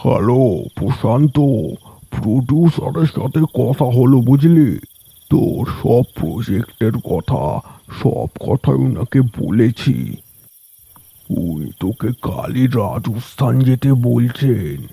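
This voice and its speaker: In a cartoonish character voice, a man of medium pitch speaks very slowly with lively intonation, the sound dry and close with no echo. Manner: chummy, chuckling.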